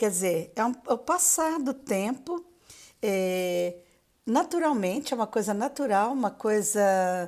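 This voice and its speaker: A woman speaking at a very slow pace with very wide pitch swings. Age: 60s. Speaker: retired teacher and author. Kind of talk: live stream talk. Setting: Instagram live. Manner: halting, many fillers.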